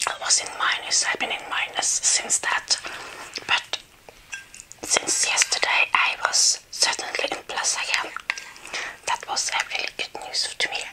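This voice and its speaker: A woman whispering at a fairly slow pace, with long, frequent pauses. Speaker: video creator. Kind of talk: casual vlog chat. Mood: cheerful. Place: home room. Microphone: lapel.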